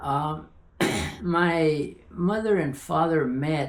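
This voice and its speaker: Lively intonation marks this man's fairly high voice. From Tularosa, New Mexico. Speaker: professor. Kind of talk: oral history interview answer.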